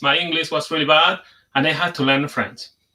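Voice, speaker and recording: A man with a Spanish accent speaks in a bright, sharp tone. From Spain. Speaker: conference speaker, software developer. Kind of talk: conference talk. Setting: video call, sharing screen.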